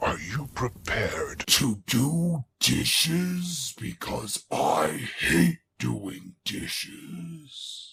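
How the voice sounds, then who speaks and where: A man growls in a put-on character voice at a medium pitch. He speaks at a very slow pace. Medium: fan dub. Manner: commanding.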